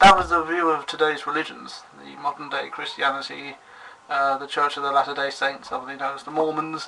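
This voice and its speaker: A man with a British accent speaks at a fairly quick pace in a fairly high voice. His intonation stays fairly even over noticeable background noise. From Britain. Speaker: vlogger. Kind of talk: video response vlog. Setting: webcam recording. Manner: formal; halting.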